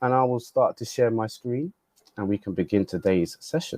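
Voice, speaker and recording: A man speaks with a British accent. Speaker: customer success specialist. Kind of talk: webinar tutorial. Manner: casual, hesitant with fillers.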